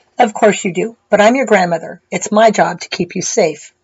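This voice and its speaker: A woman puts on a raspy, quiet character voice with a serious tone at medium pitch. She moves at a moderate pace with ordinary pitch variation. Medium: read story. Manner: quiet, serious.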